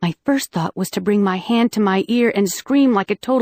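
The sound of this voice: An unforced reading voice comes through over a quiet background. Its pitch variation is ordinary.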